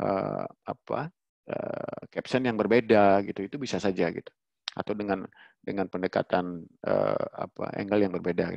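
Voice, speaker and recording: At a moderate pace, a man with a fairly low voice talks over a quiet background in a dry recording with no echo. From Bali. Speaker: webinar presenter. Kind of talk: online workshop presentation. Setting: video call. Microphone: headset.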